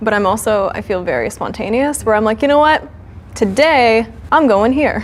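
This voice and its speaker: In a normal speaking voice, a woman talks at a moderate pace and fairly high pitch with ordinary pitch variation. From Ontario, Canada (Sarnia). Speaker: on-camera personality on a blind date. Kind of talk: casual chat.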